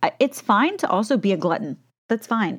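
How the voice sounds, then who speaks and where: A woman talks at a fairly slow pace. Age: 30s. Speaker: podcast host and beauty business coach. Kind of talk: solo podcast monologue. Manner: animated.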